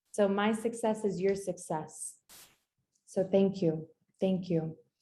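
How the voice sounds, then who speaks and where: A woman's medium-pitched, somewhat breathy voice, dark and mellow in tone, at a very slow pace. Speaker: business coach. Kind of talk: live webinar masterclass. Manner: animated.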